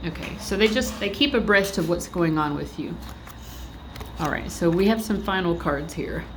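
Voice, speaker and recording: At a moderate pace, a woman talks in a fairly low pitch with lively intonation, with audible room echo and noticeable background noise. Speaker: tarot reader. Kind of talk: tarot reading. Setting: library. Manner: casual, filler-heavy.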